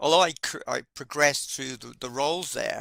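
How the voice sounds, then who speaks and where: The sound is close and dry, without any echo. A man in it speaks fairly quickly. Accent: British. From UK. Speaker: project management instructor. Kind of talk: casual chat. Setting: live webinar. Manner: hesitant, many fillers.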